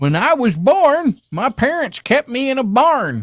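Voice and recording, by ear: In a put-on character voice, a man speaks at an extremely high pitch with very wide swings. His voice is raised and projected, and his pace is fairly slow.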